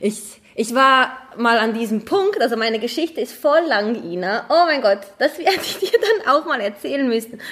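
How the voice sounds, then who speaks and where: A woman with a high pitch and lively intonation speaks at a moderate pace against noticeable background noise. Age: 20s. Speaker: model and footballer's wife. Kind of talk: casual chat.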